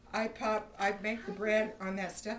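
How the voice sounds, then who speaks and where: This woman's voice sits in a mid range of pitch. Echo from the room can be clearly heard. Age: 60s. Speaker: home baker giving a bread-making class. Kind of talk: casual storytelling; cooking demonstration. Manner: animated.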